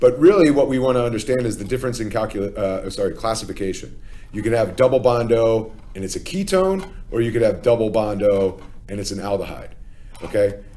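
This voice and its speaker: An American-accented man with a dark, mellow tone talks at a fairly quick pace with lively intonation amid audible room echo. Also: medium pitch for a man. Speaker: chemistry teacher. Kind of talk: lecture. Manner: casual with many fillers (okay, uh, um).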